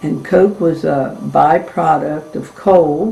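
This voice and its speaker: Recorded with audible room echo and noticeable background noise, a woman with an American accent speaks at a very deep, low pitch. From Maryland, Cecil County. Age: 80s+. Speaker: family elder interviewee. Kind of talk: oral history interview.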